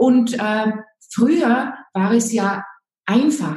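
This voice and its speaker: Audible room echo surrounds a woman's fairly high-pitched voice. She sounds somewhat breathy. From Austria, Salzburg. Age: 50s. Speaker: image and style consultant. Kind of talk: interview.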